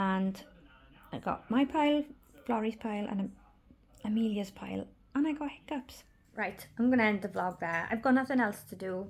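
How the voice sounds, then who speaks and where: A somewhat breathy voice with ordinary pitch variation, broken up by long, frequent pauses. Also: woman, fairly high pitch for a woman, moderate pace. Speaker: vlogger. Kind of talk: casual vlog monologue. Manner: halting.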